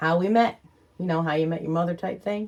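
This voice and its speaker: A woman speaks in a normal speaking voice at a medium pitch. Her intonation stays fairly even. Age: 40s. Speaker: channel owner, vlogger. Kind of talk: casual chat.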